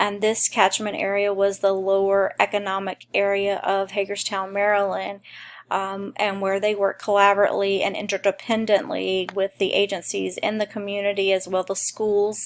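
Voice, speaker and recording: In a Mississippi accent, a woman talks at a moderate pace. Her pitch is medium. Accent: Southern US (Mississippi). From US South, rural southern Mississippi. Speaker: mental health support worker. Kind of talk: personal testimony. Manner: hesitant, many fillers.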